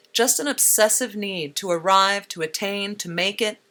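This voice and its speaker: The pace is moderate and the pitch medium. This woman has a plain, everyday voice. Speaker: radio essayist. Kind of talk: spoken-word radio feature.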